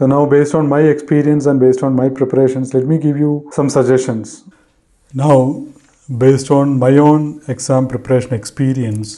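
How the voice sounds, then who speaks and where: A man's medium-pitched voice with an Indian accent, dark and mellow in tone, monotone and flat, at a moderate pace with very even loudness. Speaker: tech tutorial YouTuber. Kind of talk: tutorial.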